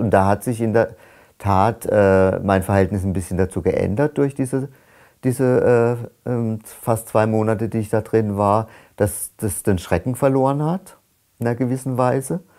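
Over a quiet background, a man speaks at a moderate pace in a dark, mellow tone with ordinary pitch variation. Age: 60s. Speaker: climate activist. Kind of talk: testimony; interview answer. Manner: halting. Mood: calm, reflective. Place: home room.

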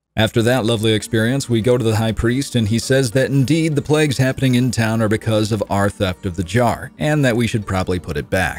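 A man speaks at a medium pitch with ordinary pitch variation. His pace is fairly quick, with hardly any pauses. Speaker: community content creator narrating a quest recap. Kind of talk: video game lore recap narration. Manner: casual, humorous, explanatory.

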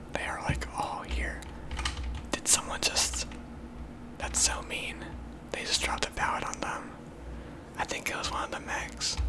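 Speech at a moderate pace breaks into long, frequent pauses amid noticeable background noise. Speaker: gaming ASMR creator. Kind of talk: ASMR gaming commentary. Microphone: studio mic.

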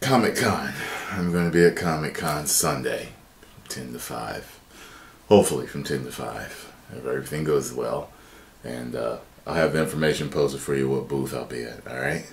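A man's very deep, low voice at a moderate pace, with big swings in loudness and long, frequent pauses. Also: ordinary pitch variation. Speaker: reaction video host. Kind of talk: casual reaction commentary. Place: home room.

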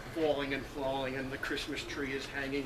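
Noticeable background noise under a man's fairly quick pace. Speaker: meeting host. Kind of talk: comic storytelling to a meeting audience. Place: garden. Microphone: camera far.

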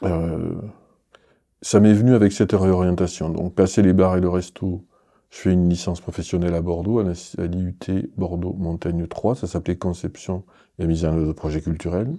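Against a quiet background, a man speaks at a moderate pace in a very deep, low voice with a dark, mellow tone and fairly even intonation. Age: 50s. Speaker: arts centre director. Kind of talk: interview. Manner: hesitant, with many fillers. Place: studio.

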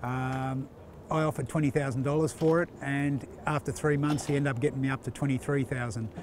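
Fairly even intonation runs through a man's medium-pitched voice. He keeps a fairly quick pace.

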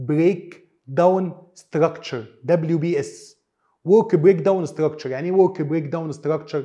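Against a quiet background, a man talks at a fairly quick pace in a dark, mellow tone with fairly even intonation. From Egypt. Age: 30s. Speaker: business trainer and consultant; business trainer. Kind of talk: tutorial. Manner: casual Arabic-English code-switching. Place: studio. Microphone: lapel.

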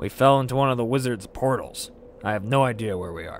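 A man talks very fast in a put-on character voice of medium pitch, with clear background noise behind him.

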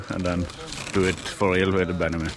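A man speaks with a very deep, low pitch. The sound is dry with no echo, with light background noise. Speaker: vlogger. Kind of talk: casual vlog chat. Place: open country. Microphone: phone near.

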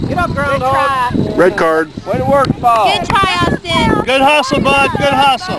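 Loud background noise surrounds a man speaking at a fairly slow pace. The sound is dry with no echo. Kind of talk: cheering and shouting encouragement. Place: open country. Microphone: phone near.

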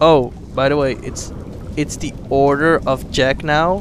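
A man with a fairly high pitch talks very slowly while noticeable background noise carries on. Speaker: gaming let's player. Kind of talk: casual gameplay commentary. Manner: animated.

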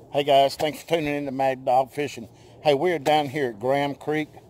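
A man's medium-pitched voice at a fairly quick pace, with fairly even intonation and a slightly mellow tone

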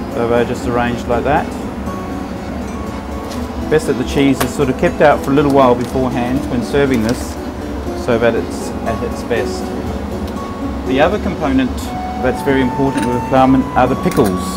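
With loud music in the background, the speaker talks at a moderate pace with ordinary pitch variation and long, frequent pauses. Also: man. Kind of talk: tutorial. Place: kitchen.

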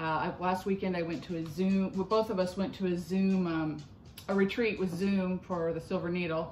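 With light background noise and audible room echo, a woman speaks at a moderate pace with fairly even intonation. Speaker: crafting vlog host. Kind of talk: casual vlog chat. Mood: friendly, slightly nervous, laughing. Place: kitchen. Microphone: phone near.

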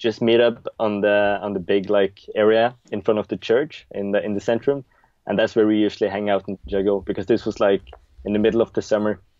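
A man's fairly low voice with fairly even intonation, dry with no echo, over a quiet background. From Norway, Stavanger; Norway. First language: Norwegian. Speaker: juggler; interview guest. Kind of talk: interview. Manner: hesitant, many fillers. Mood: relaxed, reminiscing. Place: home room. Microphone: video call.

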